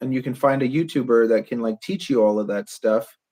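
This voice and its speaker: A man speaks with a Canadian accent. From Canada. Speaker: podcast host and drone builder. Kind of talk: casual podcast conversation.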